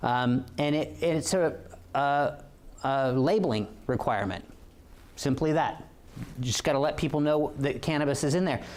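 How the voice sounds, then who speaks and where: A man with a West Coast accent speaks at a very even loudness with ordinary pitch variation, leaving long, frequent pauses, and audible room echo can be heard. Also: moderate pace. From Oregon. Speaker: police officer. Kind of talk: lecture. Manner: halting, many fillers.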